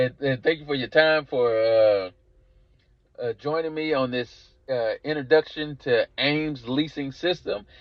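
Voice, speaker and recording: A man speaks in a strong Southern US accent at a fairly high pitch. His pace is fairly slow. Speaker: car leasing business coach. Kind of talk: course introduction sales pitch. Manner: halting with frequent repetitions and fillers.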